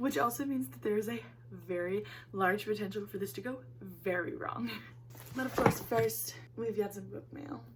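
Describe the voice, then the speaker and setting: A woman with a fairly low pitch and an animated tone, very wide pitch swings, a moderate pace broken by long, frequent pauses, and noticeable background noise. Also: big swings in loudness. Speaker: book YouTuber. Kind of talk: casual vlog chat.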